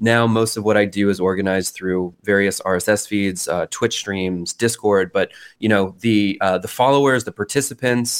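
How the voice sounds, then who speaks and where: On a very clean recording with a silent background, a man speaks at a moderate pace in an ordinary speaking voice, his fairly low pitch held in fairly even intonation. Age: 30s. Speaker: artist and internet culture researcher. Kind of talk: interview conversation.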